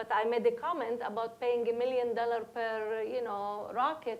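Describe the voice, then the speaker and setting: With a Palestinian accent, a woman talks at a moderate pace in a fairly high voice. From Palestine. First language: Arabic. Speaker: educator, panelist. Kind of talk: panel discussion.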